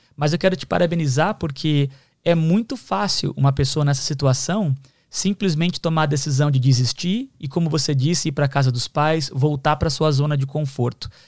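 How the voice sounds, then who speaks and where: Slightly breathy and fairly high-pitched, a man speaks at a moderate pace with ordinary pitch variation, recorded very cleanly against a silent background. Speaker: podcast host. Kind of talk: casual chat.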